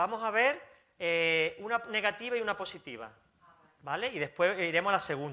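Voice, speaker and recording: The speaker's raised, projected voice has a bright, sharp tone and very wide pitch swings. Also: man. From Spain. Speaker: pastor; pastor preaching. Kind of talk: sermon. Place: church.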